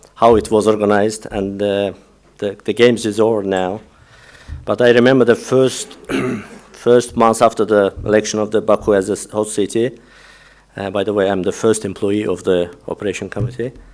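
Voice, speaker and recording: The voice moves at a moderate pace with fairly even intonation. Noticeable background noise runs underneath. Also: man, fairly low pitch for a man. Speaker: sports event organizer. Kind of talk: conference presentation. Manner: halting.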